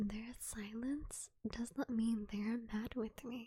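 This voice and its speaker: A soft-spoken woman with a dark, mellow tone and fairly high pitch, at a very slow pace with fairly even intonation. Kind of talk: soft-spoken ASMR poetry reading to fall asleep. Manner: soft-spoken, slow, intimate.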